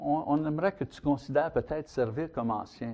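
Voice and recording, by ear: A man talks at a fairly quick pace in a fairly high pitch with ordinary pitch variation. His tone is dark and mellow.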